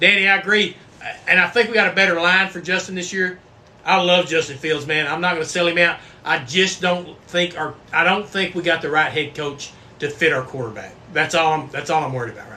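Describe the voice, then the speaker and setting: Spoken with a Texan accent, the voice has big swings in loudness and ordinary pitch variation. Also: man, high pitch for a man, fairly quick pace. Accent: Texan US Southern. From Texas. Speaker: bourbon livestream host. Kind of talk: casual livestream chat. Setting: live stream. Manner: animated.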